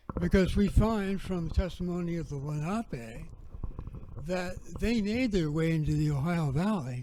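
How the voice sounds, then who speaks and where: Against audible room echo, a man with a high pitch and a dark, mellow tone speaks at a fairly slow pace with ordinary pitch variation. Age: 70s. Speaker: researcher and speaker on prehistory. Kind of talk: lecture. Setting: festival talk streamed on video call.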